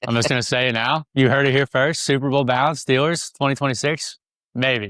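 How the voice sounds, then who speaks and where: A man with a Kentucky accent speaks at a medium pitch in a bright, sharp tone. The recording is very clean with a silent background and a dry, close sound with no echo. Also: fairly quick pace, very even loudness. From Pittsburgh, Pennsylvania. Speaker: podcast guest, racing fan. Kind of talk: casual chat. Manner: animated.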